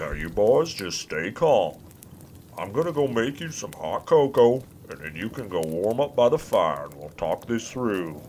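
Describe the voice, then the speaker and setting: A put-on character voice at a moderate pace, with very wide pitch swings, big swings in loudness and clear background noise. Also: man, medium pitch for a man. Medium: audio drama. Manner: folksy, grandfatherly.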